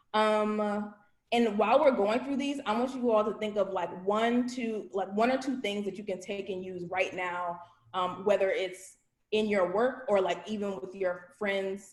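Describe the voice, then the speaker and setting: An unremarkable speaking voice from a woman, at medium pitch and a moderate pace, with ordinary pitch variation. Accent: American. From Virginia, US. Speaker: voter registration trainer. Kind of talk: training presentation.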